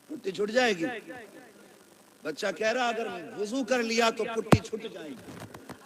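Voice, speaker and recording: Over noticeable background noise, a man speaks in a high pitch with a passionate tone. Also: ordinary pitch variation, big swings in loudness. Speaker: Islamic scholar giving a sermon. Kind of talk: Islamic reformist sermon (bayan). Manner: passionate, scolding, humorous.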